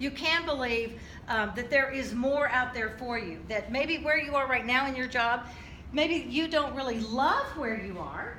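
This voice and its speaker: A woman with an American accent speaks at a high pitch and a moderate pace, her raised, projected voice showing ordinary pitch variation. Audible room echo and noticeable background noise surround her. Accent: slight Midwest with a little Southern. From US South and military bases across the US. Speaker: motivational speaker and singer. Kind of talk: motivational talk to an audience. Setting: stage with audience. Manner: conversational, with filler words.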